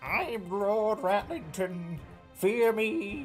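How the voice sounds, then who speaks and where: A put-on character voice with a fairly high pitch drags along at a very slow pace over clear music in the background. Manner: ominous.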